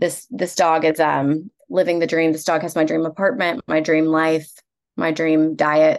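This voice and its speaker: Speaking with an American accent, a woman uses a very deep, low pitch with ordinary pitch variation at a fairly slow pace. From rural Texas. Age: 30s. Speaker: comedian. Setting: video call.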